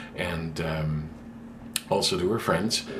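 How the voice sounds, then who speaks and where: Recorded with audible room echo, a man talks at a fairly slow pace. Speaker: vlogger. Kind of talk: casual vlog talk. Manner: hesitant, many fillers.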